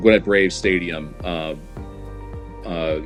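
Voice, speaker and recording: With music in the background, a man's very deep, low voice moves in lively intonation. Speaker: baseball stadium public address announcer. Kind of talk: casual interview answer. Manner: conversational, hesitant with filler words.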